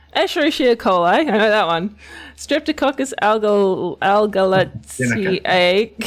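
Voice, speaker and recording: With an Australian accent, a woman speaks at a fairly slow pace. Her fairly high voice makes very wide pitch swings. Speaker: research channel host.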